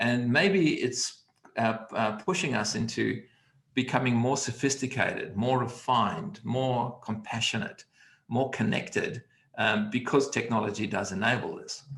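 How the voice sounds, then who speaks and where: A man's normal speaking voice, medium in pitch, with ordinary pitch variation and a fairly slow pace. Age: 60s. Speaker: communication coach. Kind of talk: online conversation.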